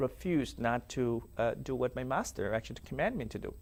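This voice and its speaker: Very clean recording, silent background, and a man's moderate pace. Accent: South Sudanese. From South Sudan (Dinka). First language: Dinka. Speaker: former slave, survivor. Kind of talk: testimony interview. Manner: halting.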